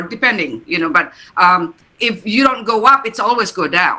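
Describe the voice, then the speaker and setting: The speaker talks at a moderate pace in an Indonesian accent. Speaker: therapist or coach. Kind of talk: panel discussion at book launch. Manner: halting, many fillers and repeats.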